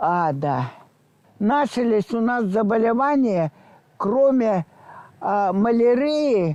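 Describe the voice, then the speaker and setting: Her fairly high voice dark and mellow, a woman speaks very slowly with lively intonation and long, frequent pauses. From Belarus. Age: 80s+. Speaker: war eyewitness. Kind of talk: interview answer.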